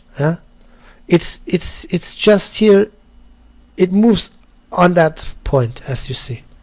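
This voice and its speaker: Speaking with a German accent, a man uses a high pitch and lively intonation, moving at a very slow pace with long, frequent pauses. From Germany. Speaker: 3D artist and tutorial maker. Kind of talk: tutorial. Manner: halting, with many repetitions.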